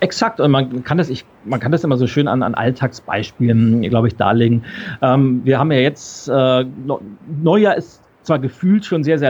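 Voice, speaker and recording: A plain, everyday voice from a man, medium in pitch, with ordinary pitch variation at a moderate pace. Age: 40s. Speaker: keynote speaker and change expert. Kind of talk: interview.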